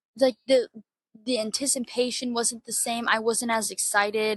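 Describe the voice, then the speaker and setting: The woman has a fairly high pitch and an American accent. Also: dry, close sound with no echo. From Florida, US. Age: 20s. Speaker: podcaster. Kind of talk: casual monologue, storytelling. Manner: fast, rambling with fillers.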